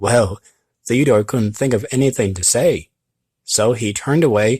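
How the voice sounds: This is a natural reading voice with ordinary pitch variation over a quiet background.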